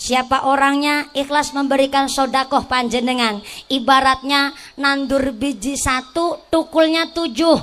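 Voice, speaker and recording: A woman speaks at a fairly slow pace in a high voice, her intonation fairly even. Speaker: female Islamic preacher. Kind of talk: sermon. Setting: stage with audience, PA system.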